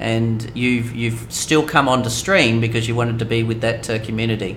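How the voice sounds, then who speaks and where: A man speaks at a medium pitch and a moderate pace. The room echo is audible. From Australia. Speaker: gaming streamer. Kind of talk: live stream chat. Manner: hesitant, many fillers.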